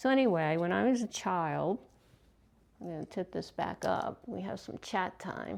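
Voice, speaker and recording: Speaking at a moderate pace with a slight Baltimore accent, a woman uses a fairly low pitch, lively intonation and big swings in loudness. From US, Baltimore, Maryland. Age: 60s. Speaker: craft video host. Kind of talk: casual chat. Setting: home, on the couch. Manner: halting.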